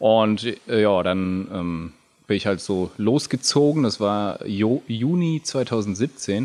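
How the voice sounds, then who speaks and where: At a very slow pace, a man with a fairly low pitch speaks with lively intonation. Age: 30s. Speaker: video game company founder and theologian. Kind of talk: casual interview.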